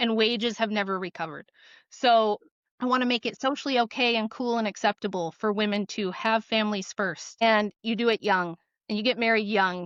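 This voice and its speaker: This woman has a fairly high pitch and fairly even intonation. She talks at a moderate pace. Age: 40s. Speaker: author and guest. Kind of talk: podcast interview. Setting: podcast. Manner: talkative.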